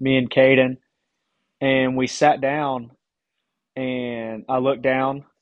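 In a Southern US accent, a man at medium pitch speaks at a very slow pace. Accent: Southern American. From East Tennessee, Johnson City. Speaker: podcast host, college baseball pitcher. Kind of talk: casual interview.

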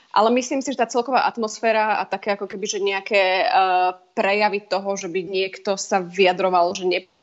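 She is a woman speaking at a fairly quick pace. Her medium pitch comes with fairly even intonation. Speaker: parliamentary advisor. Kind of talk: interview. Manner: hesitant, many fillers.

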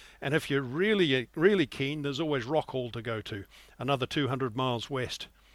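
On a very clean recording with a silent background, a man with a New Zealand accent talks at a fairly quick pace and medium pitch. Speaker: sailing guide editor and yacht skipper. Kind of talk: interview.

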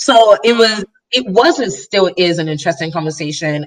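With an American accent, a woman speaks at a fairly slow pace with lively intonation in an unremarkable speaking voice. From Nigeria and Chicago. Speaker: guest. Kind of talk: casual conversational chat about identity.

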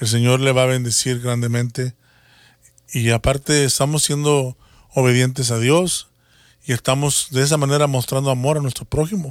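On a very clean recording with a silent background, a man with an unremarkable speaking voice speaks at a medium pitch and moderate pace with fairly even intonation. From Mexico, Matamoros, Tamaulipas. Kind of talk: religious talk show chat.

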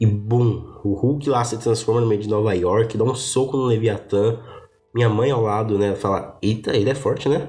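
Audible room echo surrounds a man speaking at a moderate pace and medium pitch. His tone is dark, mellow and somewhat breathy, with fairly even intonation. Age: 20s. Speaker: podcast host. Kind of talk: personal monologue, casual.

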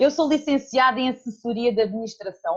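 A woman's high pitch carries lively intonation while she keeps a moderate pace. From Portugal, Alentejo. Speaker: bookkeeping consultant. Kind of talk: casual interview.

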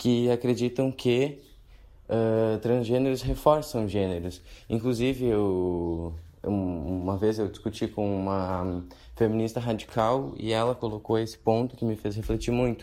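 A man speaks at a medium pitch and a fairly slow pace, his tone dark and mellow, with ordinary pitch variation on a very clean recording over a silent background. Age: 20s. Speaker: listener sending a question. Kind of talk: recorded voice message. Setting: pre-recorded audio message played on the show.

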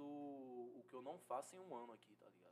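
A man at medium pitch speaks at a moderate pace in an unremarkable speaking voice. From Brazil, Salvador (Bahia). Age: 20s. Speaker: fashion model. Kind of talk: casual interview chat.

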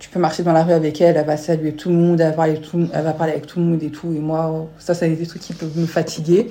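Over noticeable background noise, a woman talks at a very fast pace with hardly any pauses, a fairly low pitch, monotone, flat intonation and big swings in loudness. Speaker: podcast host. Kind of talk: casual chat. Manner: curt, flat delivery.

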